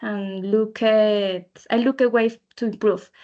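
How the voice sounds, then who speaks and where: In a Spanish accent, a woman speaks at a very slow pace with a fairly high pitch. Her intonation is fairly even, and the background is quiet. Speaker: English learner. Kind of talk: student podcast presentation. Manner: halting, many fillers.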